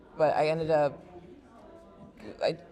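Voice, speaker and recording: A woman speaks with a very deep, low pitch. Noticeable background noise is present. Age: 20s. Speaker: university student and family caregiver. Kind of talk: casual chat. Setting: podcast.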